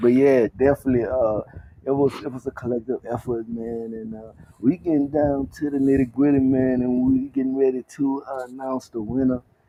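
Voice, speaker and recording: The speaker has a Southern US accent and a fairly quick pace. Intonation stays monotone and flat, while loudness swings widely. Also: man, medium pitch for a man. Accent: Southern US, country. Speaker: podcast host. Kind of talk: casual chat.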